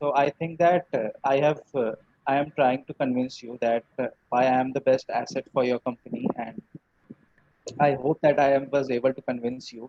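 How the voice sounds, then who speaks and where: A man with a Bengali accent, fairly high in pitch, at a moderate pace with fairly even intonation and big swings in loudness. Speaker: English learner. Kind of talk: mock job interview practice; casual chat. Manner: hesitant, many fillers.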